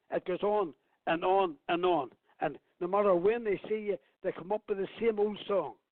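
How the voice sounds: A man speaks at a moderate pace in a high voice, his intonation fairly even. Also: dry, close sound with no echo.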